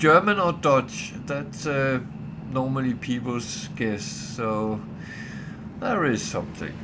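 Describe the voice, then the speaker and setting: Amid noticeable background noise and audible room echo, a man of medium pitch speaks very slowly with lively intonation and long, frequent pauses. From Denmark. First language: Danish. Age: old. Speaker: gaming streamer. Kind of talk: casual livestream chat. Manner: hesitant, many fillers.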